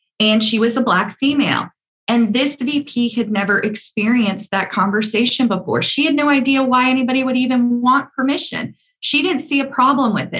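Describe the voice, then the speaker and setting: With an American accent, a woman speaks at a moderate pace using lively intonation. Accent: deep Southern US, now hidden. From US Deep South. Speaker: media executive. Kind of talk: interview conversation.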